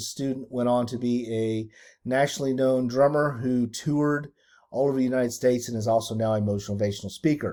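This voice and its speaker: Using a dark, mellow tone, a man speaks at a fairly quick pace and a medium pitch with fairly even intonation. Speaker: school administrator. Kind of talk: staff training video. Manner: fast.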